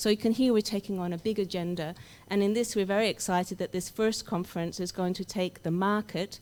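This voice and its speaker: A woman with an Australian accent speaks at medium pitch. Her pace is fairly quick and her intonation fairly even. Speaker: academic researcher. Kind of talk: conference welcome speech.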